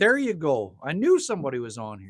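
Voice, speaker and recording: A man with a Canadian accent speaks with very wide pitch swings. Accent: Canadian accent, like North Dakota. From Manitoba, Canada. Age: 50s. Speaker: livestreamer. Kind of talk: casual chat. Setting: livestream at a cabin. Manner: animated.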